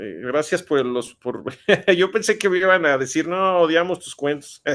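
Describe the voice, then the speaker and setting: A man speaks with a Mexican accent and high pitch. His pace is fairly slow, his pitch variation ordinary, and the background quiet. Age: 40s. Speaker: writer. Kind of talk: interview. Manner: halting, many fillers and repetitions.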